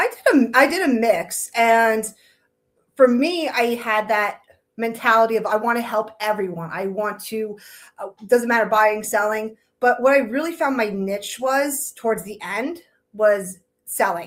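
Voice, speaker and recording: A woman with a strong Long Island accent speaks at a fairly high pitch and a fairly slow pace, with ordinary pitch variation. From New York, Long Island. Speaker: realtor. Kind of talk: casual interview.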